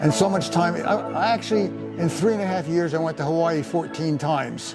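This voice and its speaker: With music in the background, a man in a New Jersey accent talks at a high pitch and moderate pace, with ordinary pitch variation. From Paterson, New Jersey. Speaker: retired engineer. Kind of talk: interview answer, life story. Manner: hesitant, many fillers.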